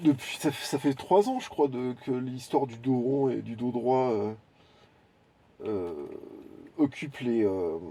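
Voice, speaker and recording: Speaking very slowly with long, frequent pauses, a man uses lively intonation and a dark, mellow tone. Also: medium pitch for a man. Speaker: YouTuber commentator. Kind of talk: unscripted video monologue. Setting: garden greenhouse. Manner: halting, searching for words.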